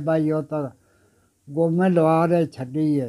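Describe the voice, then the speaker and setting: A man's dark, mellow tone with fairly even intonation, over a quiet background. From Punjab, Pakistan. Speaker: partition eyewitness. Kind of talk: oral history interview answer. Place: home room. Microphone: phone near.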